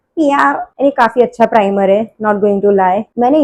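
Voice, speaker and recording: Her voice is fairly high for a woman, with a dark, mellow tone and ordinary pitch variation. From Gujarat, India. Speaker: vlogger. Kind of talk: makeup tutorial vlog.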